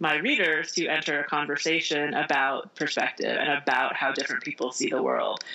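Here is a woman with an American accent and a fairly low pitch. She talks at a moderate pace. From US Midwest, Indiana. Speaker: author. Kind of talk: interview.

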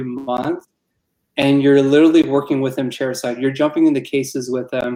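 A man with an American accent, fairly high in pitch, with a dark, mellow tone and ordinary pitch variation. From Arizona, Tucson. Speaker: dentist. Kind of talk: casual interview.

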